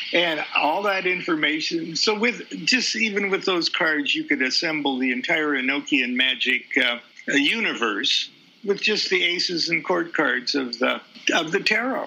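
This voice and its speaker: The speech moves at a fairly slow pace with lively intonation and very even loudness. Noticeable background noise runs underneath. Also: man, high pitch for a man. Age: 70s. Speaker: occult author and teacher. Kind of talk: interview conversation. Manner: halting, frequent fillers and repetitions.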